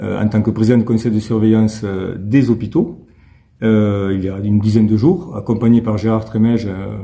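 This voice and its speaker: Here a man speaks in a fairly low pitch with ordinary pitch variation. His tone is dark and mellow, and somewhat breathy. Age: 60s. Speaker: mayor and hospital health worker. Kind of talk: interview. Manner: hesitant, many fillers and repetitions.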